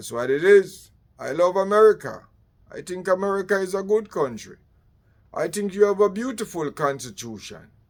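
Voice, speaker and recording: In a Jamaican accent, the speaker keeps a moderate pace and ordinary pitch variation while the loudness swings widely. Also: man, high pitch for a man. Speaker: political commentator. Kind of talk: political monologue.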